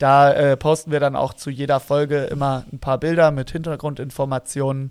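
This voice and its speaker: A man with a plain, everyday voice, fairly high in pitch, at a fairly slow pace with fairly even intonation. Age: 30s. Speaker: barista, podcast co-host. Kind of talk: casual chat. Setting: remote recording.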